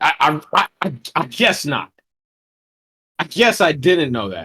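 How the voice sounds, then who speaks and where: A man with an American accent at a fairly slow pace, fairly high in pitch with very wide swings, music in the background. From Texas. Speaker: podcast co-host. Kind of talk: casual chat.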